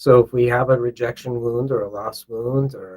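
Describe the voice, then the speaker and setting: A man speaks at a medium pitch with a dark, mellow tone. His voice is somewhat breathy, and his intonation is fairly even. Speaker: author and self-love coach. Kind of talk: podcast interview. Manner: warm, conversational.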